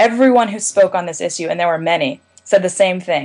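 A woman with an American accent, medium-pitched, at a very fast pace. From Maryland, US. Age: 20s. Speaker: college student, mental health advocate. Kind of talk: interview.

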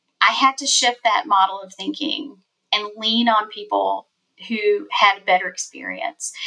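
This woman talks at a fairly slow pace with a South Carolina accent. Her loudness swings widely. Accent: Southern US (South Carolina). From South Carolina, US South. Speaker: family court lawyer. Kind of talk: casual interview.

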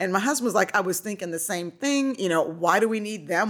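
Speaking with an American accent at a fairly quick pace, this voice has an animated tone. The pitch varies in an ordinary way. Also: woman. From Nebraska. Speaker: wine tour business owner. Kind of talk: casual chat.

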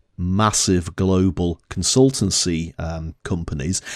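A man with a Northern English accent is heard on a very clean recording against a silent background. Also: dry, close sound with no echo. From northern England. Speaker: podcast co-host. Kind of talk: casual chat.

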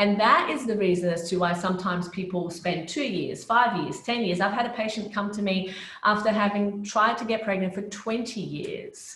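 Audible room echo and noticeable background noise surround a voice moving at a moderate pace with hardly any pauses and ordinary pitch variation. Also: woman, medium pitch for a woman. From Brazil, then Australia from age 13. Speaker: naturopathic doctor, fertility specialist. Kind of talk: interview.

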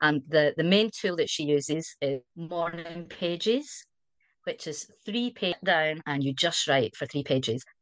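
Speaking with a Scottish accent, a woman uses a fairly low pitch and lively intonation at a fairly slow pace against a quiet background. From Scotland. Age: 60s. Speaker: community member. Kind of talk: casual chat.

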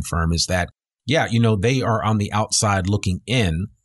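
A man's fairly low voice carries ordinary pitch variation over a quiet background. It is an ordinary speaking voice. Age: 50s. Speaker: podcast host. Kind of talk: interview. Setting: radio studio.

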